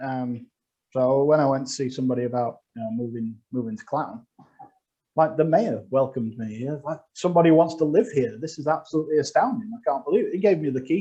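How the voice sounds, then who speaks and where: Fairly high in pitch and dark, mellow in tone, a man talks at a fairly quick pace with lively intonation and big swings in loudness. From northern England, Sheffield. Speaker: comedian. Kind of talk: stand-up. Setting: video call.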